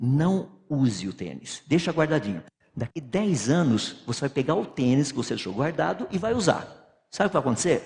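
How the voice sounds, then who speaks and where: Vocal fry colors this voice, which moves at a moderate pace through very wide pitch swings. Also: man. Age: 60s. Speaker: physicist and creationist lecturer. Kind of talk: lecture.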